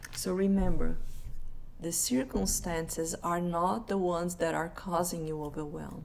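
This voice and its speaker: A woman with a Brazilian Portuguese accent speaks at a fairly slow pace and a fairly low pitch. Audible room echo surrounds her voice. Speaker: life coach. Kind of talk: live online presentation. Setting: live stream.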